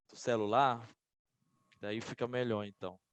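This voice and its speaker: At a moderate pace, a man with a medium pitch speaks in dry, close sound with no echo. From Bahia, Brazil. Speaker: lawyer, legislative attorney. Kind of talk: online lecture. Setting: video call. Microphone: faulty mic, sound too quiet.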